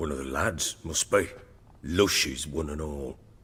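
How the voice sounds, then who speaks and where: Putting on a character voice, a man speaks raspy and very deep at a moderate pace, with ordinary pitch variation. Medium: video game. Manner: gruff, coarse.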